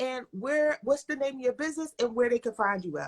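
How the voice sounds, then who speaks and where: A woman with a Philadelphia accent uses a raised, projected voice, with a bright, sharp tone and an animated tone, in a dry, close sound with no echo. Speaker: live show host. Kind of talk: livestream interview.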